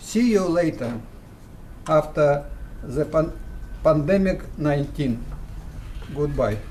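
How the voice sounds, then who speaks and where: Speaking with a Russian accent, a man uses a fairly high pitch and ordinary pitch variation at a very slow pace. Long, frequent pauses break up his speech, and there is audible room echo. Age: 70s. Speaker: physicist. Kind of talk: recorded greeting. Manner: formal.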